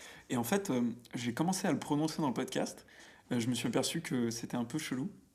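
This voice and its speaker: The pace is fairly quick in a very clean recording with a silent background. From France, Auvergne. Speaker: podcaster, pop culture guest. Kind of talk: casual chat. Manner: animated; halting, many fillers.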